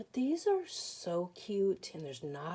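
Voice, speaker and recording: A woman speaks very slowly in a dark, mellow tone. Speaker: card-making crafter. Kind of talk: casual crafting tutorial. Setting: home craft table with bright lights. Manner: casual, chatty.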